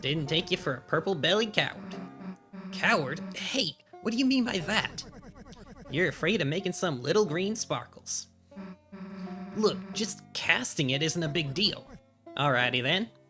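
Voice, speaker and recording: A man puts on a character voice, pitched high, with long pauses that come often. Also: moderate pace. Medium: virtual streamer. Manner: gruff, teasing.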